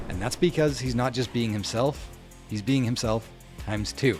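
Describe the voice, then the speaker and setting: A man speaks at a medium pitch with vocal fry and ordinary pitch variation. His tone is animated. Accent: Canadian. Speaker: realtor and video marketing coach. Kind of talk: tutorial. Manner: animated, amped up on camera; loud, hand gestures.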